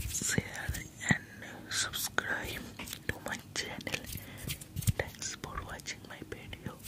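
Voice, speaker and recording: Very slow whispering from a man. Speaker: ASMR creator. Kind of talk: whispered ASMR talk. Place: home room. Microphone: studio mic.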